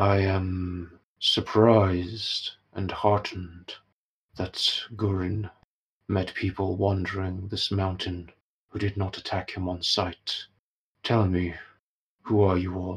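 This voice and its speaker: A man uses a put-on character voice, very deep and low, with monotone, flat intonation. He speaks at a fairly slow pace with long, frequent pauses on a very clean recording with a silent background. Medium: actual play. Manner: slow, formal, solemn.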